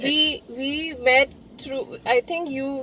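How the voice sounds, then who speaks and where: A woman with a Pakistani accent speaks in a dry sound with no echo over light background noise. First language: Urdu. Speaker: vlogger. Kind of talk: casual chat. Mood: relaxed and cheerful. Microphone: phone near.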